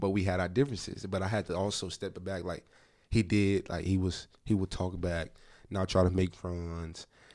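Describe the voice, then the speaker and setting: The voice stays monotone and flat on a very clean recording with a silent background. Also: man, very deep, low pitch for a man, moderate pace. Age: 20s. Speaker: basketball player and trainer. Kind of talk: casual chat.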